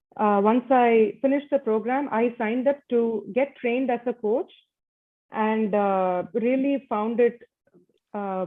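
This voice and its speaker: A woman with a strong Indian accent speaks at a fairly slow pace. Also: fairly high pitch for a woman, ordinary pitch variation. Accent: thick Indian (Desi). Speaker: leadership coach and MBA student. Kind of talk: conference panel talk. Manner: halting, many fillers.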